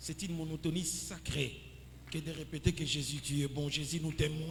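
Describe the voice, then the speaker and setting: Over noticeable background noise and audible room echo, a man speaks at a moderate pace in a fairly high voice. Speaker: pastor. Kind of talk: sermon.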